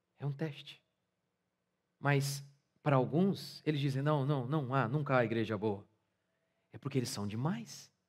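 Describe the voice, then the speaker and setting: A man speaks at a fairly slow pace with a somewhat breathy voice against a quiet background. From Brazil. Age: 40s. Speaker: pastor. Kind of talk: sermon. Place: church. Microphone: headset.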